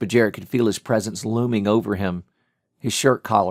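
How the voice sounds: A natural reading voice with fairly even intonation comes through over a quiet background.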